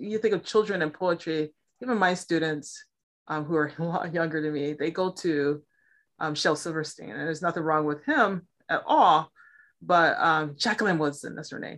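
An ordinary speaking voice with ordinary pitch variation. It comes with an American accent. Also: woman, fairly low pitch for a woman, moderate pace, quiet background. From Milwaukee, Wisconsin, US Midwest. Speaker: poet and writing teacher. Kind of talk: casual interview.

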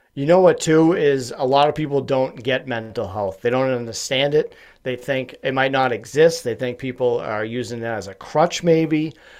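A man speaks at a moderate pace with hardly any pauses and ordinary pitch variation. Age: 30s. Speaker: podcast host and mental health advocate. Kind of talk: casual interview conversation. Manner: high-energy.

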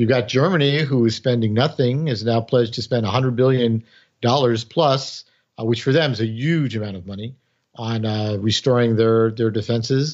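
A man speaks with an ordinary speaking voice in an American accent. His pitch is medium and his intonation fairly even. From New York City, the Bronx. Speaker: former intelligence officer and author. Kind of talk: interview.

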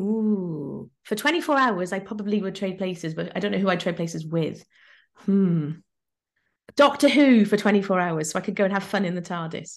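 A medium-pitched female voice with an English accent, lively intonation and a moderate pace. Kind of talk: interview.

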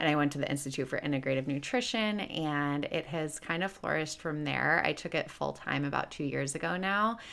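Her very deep, low voice shows vocal fry as this woman talks at a fairly quick pace with hardly any pauses. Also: ordinary pitch variation. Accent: American. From US Midwest, Chicago. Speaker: health coach. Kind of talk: casual interview chat.

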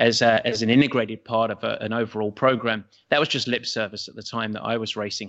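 Fairly quick speech from a man at a medium pitch. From England. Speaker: triathlon coach. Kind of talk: interview conversation.

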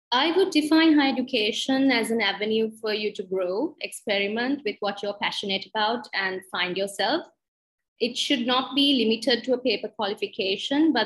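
Her voice is somewhat breathy. The woman's pitch sits fairly high. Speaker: academic director. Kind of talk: interview chat.

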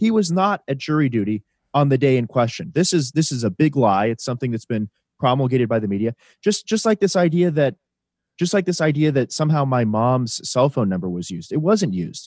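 In an American accent, a man of medium pitch speaks fairly quickly with very wide pitch swings, the sound dry and close with no echo. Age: 20s. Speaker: political activist. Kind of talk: interview.

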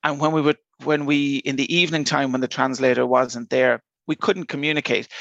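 A fairly quick, fairly high-pitched man with an Irish accent and fairly even intonation, in a dry, close sound with no echo. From Ireland, Dublin. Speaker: airport innovation manager. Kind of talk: interview.

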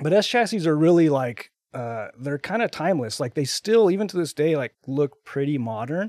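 A plain, everyday voice with an American accent moves at a moderate pace with lively intonation. The sound is dry and close, with no echo. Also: man, fairly high pitch for a man. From Texas. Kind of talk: casual interview. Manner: many fillers, um and like.

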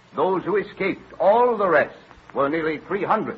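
Putting on a character voice, a man speaks fairly slowly at a fairly high pitch, with lively intonation and a husky, rough edge.

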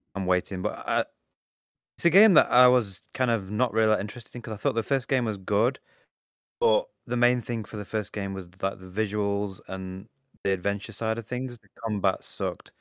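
A man with a British accent at a fairly low pitch, fairly quick pace, ordinary pitch variation, big swings in loudness, and a dry, close sound with no echo. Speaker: podcast co-host, VR gaming. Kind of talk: casual chat, podcast. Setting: remote recording, five hours ahead. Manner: blunt, swearing.

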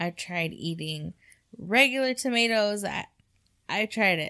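In a very clean recording with a silent background, a woman speaks at a fairly slow pace with a bright, sharp tone. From Mexican-American background. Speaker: podcast co-host. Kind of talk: casual chat.

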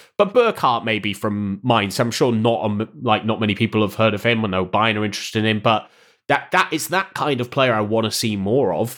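In a very clean recording with a silent background, a man speaks with a British accent at a medium pitch. He moves at a fairly quick pace with ordinary pitch variation. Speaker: content creator and streamer. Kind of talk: casual chat.

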